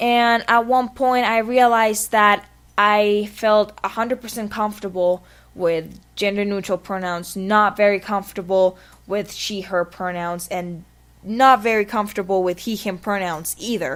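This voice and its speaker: Speaking fairly slowly in a Spanish accent, a woman keeps a medium pitch and fairly even intonation on a very clean recording with a silent background. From Spanish-speaking country. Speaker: vlogger. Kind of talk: personal vlog monologue.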